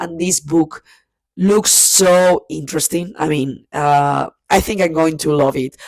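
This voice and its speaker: A woman with a Spanish accent speaks at a very deep, low pitch. Her intonation is fairly even, and the sound is dry and close with no echo. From Spain. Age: 30s. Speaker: book vlogger. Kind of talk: casual monologue to camera. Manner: hesitant, many fillers and repeats.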